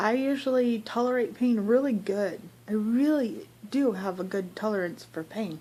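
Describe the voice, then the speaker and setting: A woman speaks at a moderate pace with a fairly high, somewhat breathy voice. Her tone is dark and mellow, with ordinary pitch variation. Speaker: vlogger. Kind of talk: casual vlog monologue. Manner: chatty.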